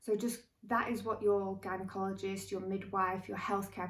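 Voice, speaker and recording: A woman with a somewhat breathy voice at medium pitch speaks at a moderate pace in a flat, monotone way. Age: 30s. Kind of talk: casual talk to camera.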